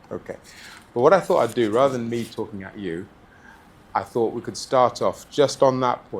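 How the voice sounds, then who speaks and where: Noticeable background noise runs throughout. The talking proceeds at a moderate speed. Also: man. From Uganda. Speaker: church speaker on parenting. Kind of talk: talk to a group.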